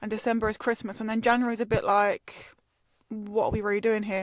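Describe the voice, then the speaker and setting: A very fast delivery with an English accent. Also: woman. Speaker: podcast host. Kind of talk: casual chat. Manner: animated.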